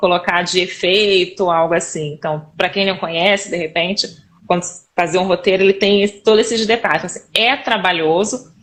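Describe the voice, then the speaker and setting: Noticeable background noise under a woman's voice, medium in pitch with ordinary pitch variation. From Rio de Janeiro, Brazil. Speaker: instructional designer and teacher. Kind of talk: casual interview chat on a live stream. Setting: live stream video call.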